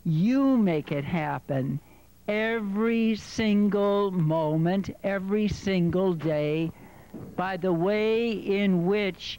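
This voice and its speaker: Speaking very slowly in a solemn tone, the man's voice sits high in pitch. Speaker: rabbi. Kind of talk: fervent prayer and blessing before a congregation. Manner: solemn, earnest, rising to an emphatic, heartfelt tone; measured, with deliberate repetition for emphasis. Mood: warm, solemn. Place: hall.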